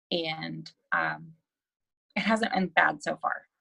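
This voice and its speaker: The speaker talks at a very slow pace with a Texan accent. The tone is bright and sharp. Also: woman. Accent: Texan American English. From Central Texas, USA. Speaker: real estate investor, nurse practitioner, military veteran. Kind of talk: podcast interview answer.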